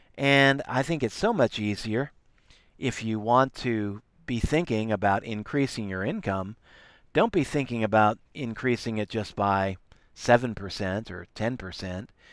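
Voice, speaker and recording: On a very clean recording with a silent background, a man at medium pitch talks at a fairly slow pace, his loudness swinging widely. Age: 60s. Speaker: online entrepreneur and network marketer. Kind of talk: motivational talk. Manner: halting, with repeated words and fillers.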